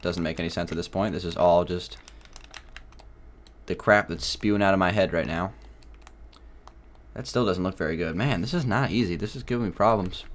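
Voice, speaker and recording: A man's mumbling voice, very deep and low, with ordinary pitch variation, a fairly quick pace, and long, frequent pauses. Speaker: gaming youtuber. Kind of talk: let's play commentary.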